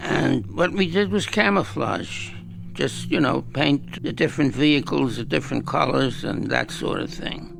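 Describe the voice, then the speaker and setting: Against music in the background, a man talks at a moderate pace. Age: 80s+. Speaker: war veteran. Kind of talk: interview testimony.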